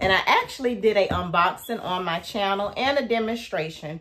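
The speech moves at a fairly slow pace with ordinary pitch variation. Light background noise can be heard. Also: woman. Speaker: lifestyle vlogger. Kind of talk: casual vlog chat. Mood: cheerful, upbeat. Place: home room.

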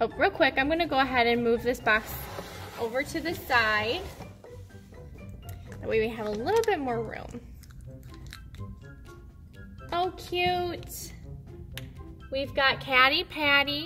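A woman speaks in a raised, projected voice with long, frequent pauses. Clear music plays in the background. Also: fairly slow pace. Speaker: toy unboxing host. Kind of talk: casual unboxing commentary. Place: home room.

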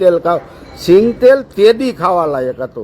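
A man's voice at a high pitch. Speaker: farmer reacting on social media. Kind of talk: angry rant. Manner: animated.

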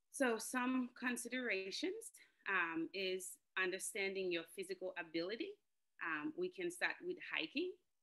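Against a quiet background, a woman speaks in a bright, sharp tone. Her pace is fairly slow and her intonation lively. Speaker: outdoor preschool educator. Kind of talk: panel presentation. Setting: video call. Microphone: video call.

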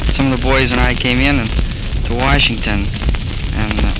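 Loud background noise runs through the recording. The sound is dry with no echo. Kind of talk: personal spoken letter. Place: booth. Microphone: old recording.

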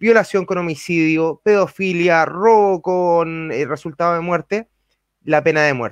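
In a quiet, dry recording with no echo, a man speaks with a high pitch and ordinary pitch variation. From Chile. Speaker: radio panelist. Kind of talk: panel questioning. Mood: serious, argumentative. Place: home room. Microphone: studio mic.

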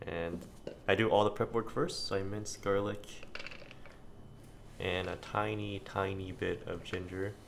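Quiet and monotone, a man with a very deep, low pitch talks at a moderate pace over noticeable background noise. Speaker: home cook. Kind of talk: casual cooking narration. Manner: quiet, low volume. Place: kitchen.

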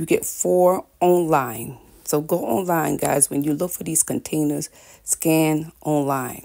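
A woman speaks at a fairly slow pace with a very deep, low pitch and ordinary pitch variation. Her tone is dark and mellow, and the background is quiet. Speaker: lifestyle vlogger. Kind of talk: casual vlog chat. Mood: warm, upbeat, religious blessing. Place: kitchen. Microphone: phone near.

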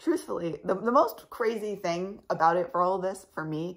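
A woman speaks at a moderate pace with a fairly low pitch and a fairly bright tone. Her voice is creaky, with vocal fry.

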